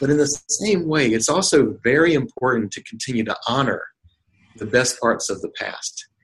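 A man with an American accent and a fairly high, somewhat breathy voice speaks at a moderate pace with lively intonation. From North Carolina. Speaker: nonprofit chief executive. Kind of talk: interview.

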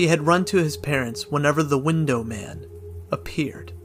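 Over music in the background, a man talks at a fairly slow pace with a fairly high pitch. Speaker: horror story narrator. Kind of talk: ghost story telling. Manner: hushed, slow, eerie.

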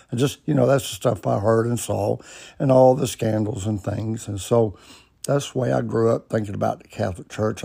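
This voice carries an Alabama accent and a dark, mellow tone. It is somewhat breathy, and the pitch varies in an ordinary way. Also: man. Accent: Southern US (Alabama). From US South, Alabama (Birmingham area). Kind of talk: personal storytelling monologue. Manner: casual, folksy.

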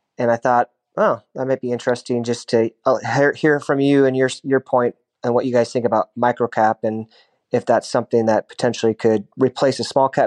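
With an unremarkable speaking voice, a man of medium pitch speaks at a moderate pace and fairly even intonation, dry and close with no echo over a quiet background. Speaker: caller. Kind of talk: recorded listener question.

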